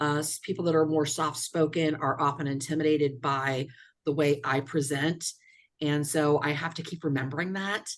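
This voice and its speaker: A woman's very deep, low voice, flat and monotone, at a moderate pace. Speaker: workshop participant. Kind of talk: group workshop discussion. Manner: loud.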